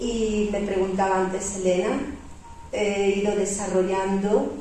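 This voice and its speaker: Noticeable background noise and audible room echo surround a woman's voice. She speaks at a medium pitch and a very slow pace. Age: 60s. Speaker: retired civil servant and aid volunteer. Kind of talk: panel discussion. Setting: public event with audience, broadcast live on radio.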